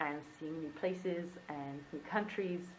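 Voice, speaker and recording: With audible room echo, this woman's voice sits fairly low in pitch and shows ordinary pitch variation. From Wales, Bridgend. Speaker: illustrator and vlogger. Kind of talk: casual vlog monologue. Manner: animated.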